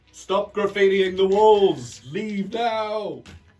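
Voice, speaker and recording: Putting on a character voice, a man speaks very slowly with a high pitch. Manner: commanding, shouting.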